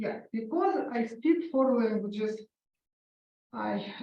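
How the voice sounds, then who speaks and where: At a very slow pace, the voice has a dark, mellow tone and sounds somewhat breathy. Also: woman. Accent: Russian. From Ukraine. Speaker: author and concert pianist. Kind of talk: author talk interview. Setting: library event with audience. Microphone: held too far from mouth, hard to hear.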